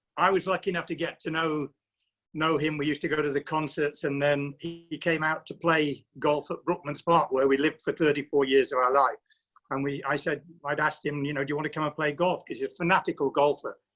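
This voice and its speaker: The speech comes very fast in a monotone with flat intonation. Music plays in the background. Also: man, fairly high pitch for a man. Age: 70s. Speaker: surprise guest, former footballer. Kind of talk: casual chat. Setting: video call.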